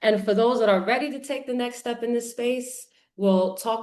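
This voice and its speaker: A woman with a New York accent speaks at a moderate pace. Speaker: event host. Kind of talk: live launch event hosting. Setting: livestream. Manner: animated.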